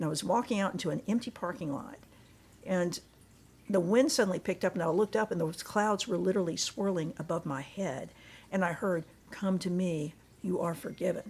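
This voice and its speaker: A woman's somewhat breathy, medium-pitched voice at a fairly quick pace, with ordinary pitch variation. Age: 60s. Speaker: church member giving testimony. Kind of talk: testimony. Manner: halting.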